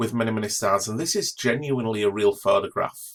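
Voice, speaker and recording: A man with an English accent, enthusiastic in tone, at a moderate pace. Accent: English accent, noticeable. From northern England. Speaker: astronomy professor. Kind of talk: educational talk.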